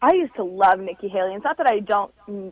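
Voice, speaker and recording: A woman speaks in an ordinary speaking voice that sits fairly high in pitch. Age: 20s. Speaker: political reporter. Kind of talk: radio interview.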